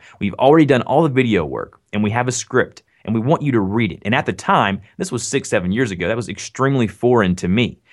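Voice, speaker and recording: In a Southern US accent, a man speaks very fast with lively intonation on a very clean recording with a silent background. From US South. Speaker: online content creator and voice actor. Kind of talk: casual interview chat.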